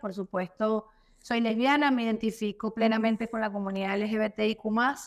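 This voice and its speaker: Her pitch fairly high and its variation ordinary, a woman speaks with a Caracas accent. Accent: Venezuelan Spanish (Caracas). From Venezuela, Caracas. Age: 30s. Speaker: political activist. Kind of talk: interview.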